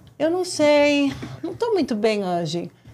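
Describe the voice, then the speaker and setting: At a fairly slow pace, a woman speaks. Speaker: developmental consultant and neuropsychopedagogue. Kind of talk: casual interview. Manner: halting.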